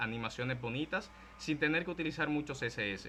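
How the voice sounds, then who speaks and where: A bright, sharp tone marks this man's voice, which shows ordinary pitch variation. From Dominican Republic. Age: 20s. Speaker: content creator and programming teacher. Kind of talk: tech talk / lecture. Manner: casual, conversational.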